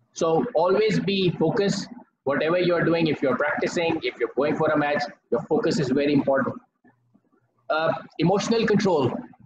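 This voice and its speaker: Talking at a fairly quick pace, a man with a high pitch uses lively intonation over noticeable background noise. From Pakistan. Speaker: former cricketer and batting coach; batting coach. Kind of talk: lecture. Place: home room. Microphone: poor audio connection; video call.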